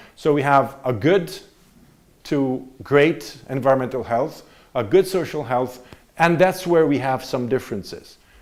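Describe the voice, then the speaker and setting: Fairly slow delivery with ordinary pitch variation and audible room echo. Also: man, fairly high pitch for a man. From Italy. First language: Italian. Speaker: visiting political science professor. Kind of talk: university lecture.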